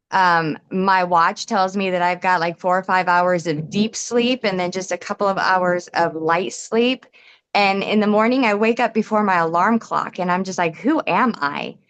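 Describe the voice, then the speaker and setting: An ordinary speaking voice from a woman, medium in pitch with ordinary pitch variation, at a moderate pace and very even loudness. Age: 40s. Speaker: customer giving testimonial. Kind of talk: testimony.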